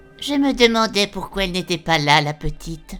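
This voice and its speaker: Over faint background music, a woman does a put-on character voice at medium pitch with lively intonation. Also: moderate pace. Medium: audio drama. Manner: sardonic, biting.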